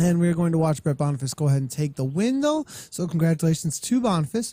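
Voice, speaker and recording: Speaking at a very fast pace, a man with a high pitch has a dark, mellow tone. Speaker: esports cycling race commentator. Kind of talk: live race commentary. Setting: live stream broadcast. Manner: loud.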